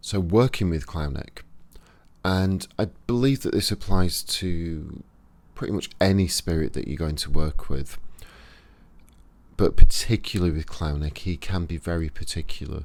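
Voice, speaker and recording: Speaking with a Yorkshire accent at a moderate pace, a man with a very deep, low pitch and ordinary pitch variation shows big swings in loudness and takes long, frequent pauses. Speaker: occult practitioner, YouTuber. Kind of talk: tutorial. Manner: casual, conversational.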